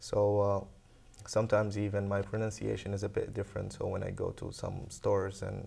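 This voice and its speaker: At a fairly quick pace, a man talks with a non-native accent. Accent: foreign. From Saudi Arabia. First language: Arabic. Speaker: international student. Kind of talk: interview. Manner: halting.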